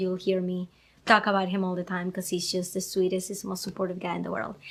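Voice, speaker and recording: A woman with a Venezuelan accent speaks at a medium pitch. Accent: Venezuelan Spanish accent, noticeable. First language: Spanish. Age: 30s. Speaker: podcast host. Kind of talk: casual live video chat. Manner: energetic.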